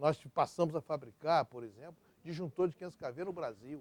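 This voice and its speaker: The sound is dry and close, with no echo. At a moderate pace, a man talks. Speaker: electric power sector executive. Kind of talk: oral history interview. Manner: halting, with many fillers and repetitions.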